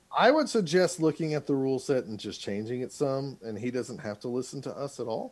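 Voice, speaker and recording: A man speaks fairly quickly with hardly any pauses, in a normal speaking voice. His pitch is medium and his intonation lively. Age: 40s. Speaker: podcast co-host. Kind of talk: casual chat. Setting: podcast recording.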